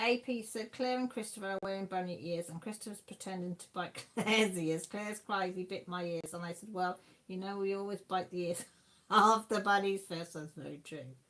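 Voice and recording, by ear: The voice has a fairly bright tone, ordinary pitch variation and a moderate pace. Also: woman, medium pitch for a woman.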